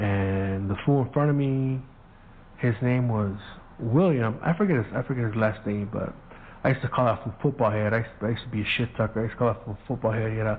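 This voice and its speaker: A man talks at a fairly quick pace with a medium pitch. His voice is somewhat breathy, with ordinary pitch variation. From US, Mexican-American family. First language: Spanish. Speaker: podcast host. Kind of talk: casual storytelling monologue.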